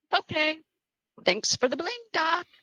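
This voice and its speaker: A woman puts on a squeaky character voice at an extremely high pitch. The sound is dry and close, with no echo. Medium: audio drama. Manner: bright, gushing, upbeat.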